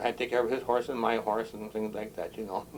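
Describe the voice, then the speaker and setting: A man is talking. He has an American accent. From Wisconsin. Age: 70s. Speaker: retired police chief. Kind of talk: oral history interview. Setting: on a boat.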